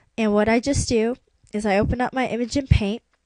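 A woman speaks with music in the background. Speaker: video tutorial maker. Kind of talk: tutorial. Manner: casual, hesitant with fillers.

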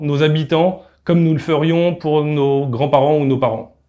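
A man speaks fairly slowly at a fairly high pitch. His intonation is fairly even, and the background is quiet. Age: 30s. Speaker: company co-founder. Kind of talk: recruitment video pitch. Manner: hesitant with filler sounds. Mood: calm, earnest. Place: office.

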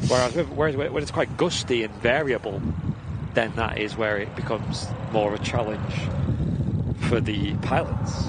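Over loud background noise, a man speaks at a moderate pace with ordinary pitch variation and long, frequent pauses, the sound dry with no echo. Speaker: livestream co-host. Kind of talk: commentary. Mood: relaxed, amused. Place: open country.

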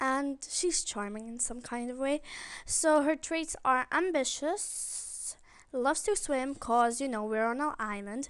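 Over a quiet background, a woman with a high pitch speaks at a fairly slow pace with ordinary pitch variation. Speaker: gaming YouTuber. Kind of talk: let's play commentary. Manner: subdued, can't shout.

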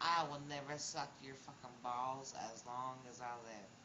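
Fairly slow speech over noticeable background noise. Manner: slurred drunk taunting voice. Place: street. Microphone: phone near.

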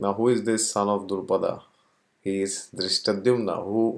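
The clip has a natural reading voice with fairly even intonation. Behind it, the background is quiet.

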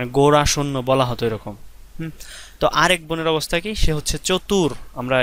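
A man's medium-pitched voice shows ordinary pitch variation. Nothing sounds behind it on this very clean recording. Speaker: teacher. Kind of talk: lecture.

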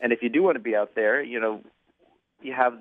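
The speaker has an American accent, against a quiet background. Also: man. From Philadelphia. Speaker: newspaper reporter. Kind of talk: phone interview. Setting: phone call. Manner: halting, many fillers. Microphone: phone line.

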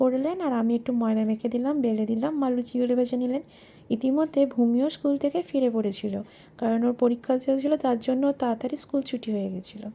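Her voice is high-pitched with a dark, mellow tone, and this woman uses ordinary pitch variation. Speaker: lifestyle vlogger and homemaker. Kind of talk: vlog narration.

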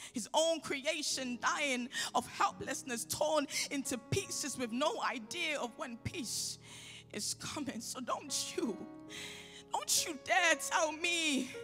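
Clear music plays behind a woman speaking in a raised, projected voice. Her high pitch shows ordinary variation, and her pace is very slow. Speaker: spoken word poet. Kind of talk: spoken word poetry performance. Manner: impassioned, emphatic. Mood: angry, pleading. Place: hall. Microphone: handheld.

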